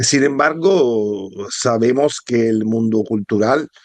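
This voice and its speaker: A man with a fairly low voice and a dark, mellow tone, at a very slow pace. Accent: Italian. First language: Italian (speaking Spanish). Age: 50s. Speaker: philosophy historian and author. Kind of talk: book presentation talk. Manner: halting, many hesitations.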